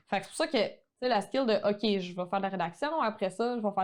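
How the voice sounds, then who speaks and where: Her speech rushes along very fast. The audio is very clean, and the background is silent. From Quebec. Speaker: online photography teacher. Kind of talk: podcast interview.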